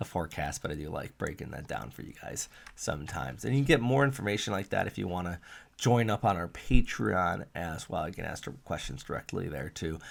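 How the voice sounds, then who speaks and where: Vocal fry and very wide pitch swings mark this fairly quick delivery, heard on a very clean recording with a silent background. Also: man. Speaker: weather forecaster. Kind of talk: weather update video. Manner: casual, some filler words.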